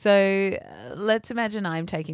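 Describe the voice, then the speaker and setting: A woman uses an ordinary speaking voice at a fairly slow pace, with ordinary pitch variation. The recording is very clean, with a silent background. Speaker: podcast host. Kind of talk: casual chat, banter. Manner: playful, joking.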